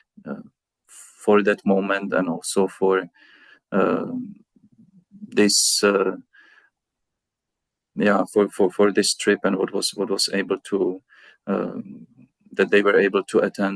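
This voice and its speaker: A man with a Czech accent speaks at a very slow pace with long, frequent pauses. The sound is dry and close, with no echo. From Czech Republic. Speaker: pastor. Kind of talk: interview. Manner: halting, many fillers.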